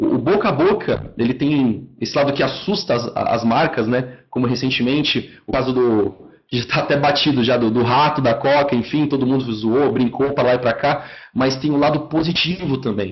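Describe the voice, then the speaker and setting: At a moderate pace, a man with a medium pitch sounds somewhat breathy while keeping his loudness very even. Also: ordinary pitch variation. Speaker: marketing software account manager. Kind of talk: online lecture. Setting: online webinar.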